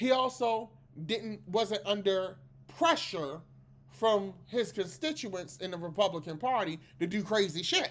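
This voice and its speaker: Fairly slow, animated speech with lively intonation and a Maryland accent. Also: woman, medium pitch for a woman. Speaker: political commentary podcast host. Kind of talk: casual political commentary monologue. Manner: animated, conversational.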